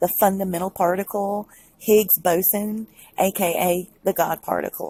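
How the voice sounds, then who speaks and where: A woman speaks at a medium pitch with a Southern US accent, her somewhat breathy, dark, mellow tone held in a monotone, flat intonation, on a very clean recording with a silent background and a dry, close sound with no echo. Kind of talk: casual talk to camera.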